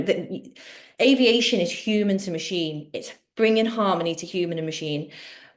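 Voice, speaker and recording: A woman speaks in a Liverpool accent at a medium pitch. Her pace is moderate and her pitch variation ordinary. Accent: Liverpool (Scouse). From Liverpool, England. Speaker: dental therapist. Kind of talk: webinar Q&A.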